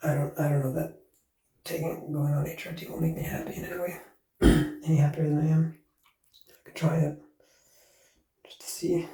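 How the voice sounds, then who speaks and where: Dark and mellow in tone, a man's voice sits fairly high in pitch. His intonation is monotone and flat. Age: 30s. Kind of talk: casual personal ramble. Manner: low-energy, subdued.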